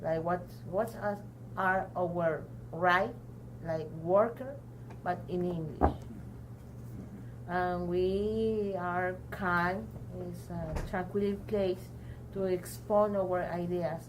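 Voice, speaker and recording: Speaking very slowly with long, frequent pauses, a woman with a Mexican accent is heard against audible room echo. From Mexico (Tampico). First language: Spanish. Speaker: adult learner, community program member. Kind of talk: interview testimony. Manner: halting, many hesitations.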